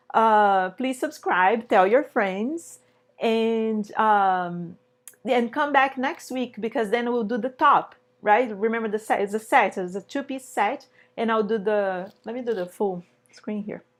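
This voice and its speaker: Speaking at a fairly slow pace, a woman with a Brazilian accent has a fairly high pitch. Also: ordinary pitch variation. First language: Portuguese. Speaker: sewing teacher. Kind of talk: live online tutorial. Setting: live stream. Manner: casual, hesitant with fillers.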